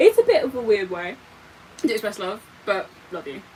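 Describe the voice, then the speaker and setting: A woman speaks with a British accent and lively intonation. Noticeable background noise runs beneath her. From Britain. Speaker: live streamer. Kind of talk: casual livestream chat while doing makeup. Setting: livestream. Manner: animated.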